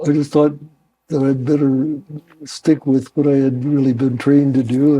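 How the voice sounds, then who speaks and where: Speaking with an American accent, a man delivers a dark, mellow tone at a fairly high pitch, moderate pace and monotone, flat intonation. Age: 90s. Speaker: war veteran. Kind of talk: interview. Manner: hesitant, with fillers.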